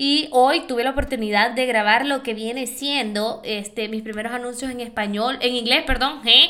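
Animated and high-pitched, a woman with a bright, sharp tone talks at a fairly slow pace with ordinary pitch variation. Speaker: podcast host. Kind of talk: casual monologue.

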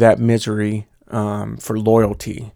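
A man speaks with an American accent. The sound is dry and close, with no echo. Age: 30s. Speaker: podcast host. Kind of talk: casual chat. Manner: casual, joking.

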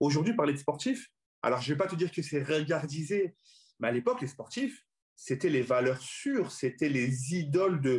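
This man has a fairly high pitch and a somewhat breathy voice. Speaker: comedian and comedy club founder. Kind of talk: casual chat.

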